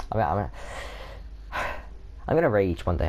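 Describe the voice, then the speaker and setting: Very deep and low, this man's voice carries vocal fry. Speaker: gaming video creator. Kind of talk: let's play commentary. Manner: fast; halting, stumbling over words.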